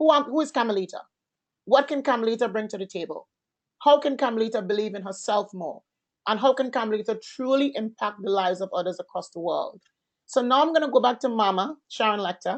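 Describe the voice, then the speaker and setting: A woman speaks at a very fast pace with lively intonation. Her pitch sits fairly high. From Caribbean. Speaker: entrepreneur and event host. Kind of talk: online master class panel. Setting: conference call. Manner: loud; animated.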